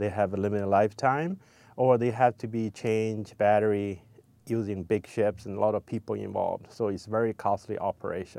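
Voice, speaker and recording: A man with a dark, mellow tone speaks at a fairly quick pace, his fairly low voice keeping fairly even intonation. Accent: Chinese. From China. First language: Chinese. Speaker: ocean scientist and company founder. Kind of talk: personal profile interview.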